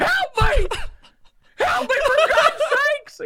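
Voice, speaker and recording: The voice is a put-on character voice at an extremely high pitch. It moves at a very slow pace. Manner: panicked, pleading.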